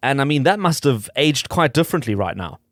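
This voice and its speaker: A man's fairly high-pitched voice at a very fast pace, on a very clean recording with a silent background. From South Africa, Sandton. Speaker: radio host. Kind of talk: radio interview.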